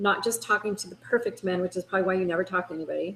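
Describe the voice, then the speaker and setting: With an American accent, a woman talks at a very fast pace. Her voice is somewhat breathy, with ordinary pitch variation. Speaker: dating coach. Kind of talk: webinar. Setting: video call. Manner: animated.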